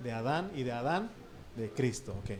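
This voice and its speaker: In a room with audible echo, a man talks with an Oaxacan accent. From Oaxaca, Mexico. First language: Triqui (speaking Spanish). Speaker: pastor. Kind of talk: sermon. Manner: conversational, asks the congregation questions.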